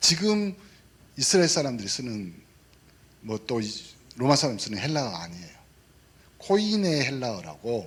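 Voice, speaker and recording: Speaking at a fairly slow pace with a South Jeolla accent, a man moves through very wide pitch swings. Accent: Mokpo dialect, mispronounces 예 sound. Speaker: pastor. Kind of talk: sermon. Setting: church service. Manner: animated, interactive with congregation.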